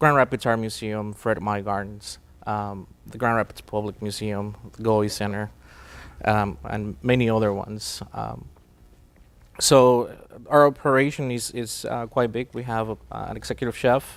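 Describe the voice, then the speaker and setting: This man talks at a moderate pace with a Spanish accent and a fairly low pitch. His intonation is fairly even, but his loudness swings widely. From Mexico. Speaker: catering company president. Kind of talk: interview. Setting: studio. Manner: hesitant, many fillers.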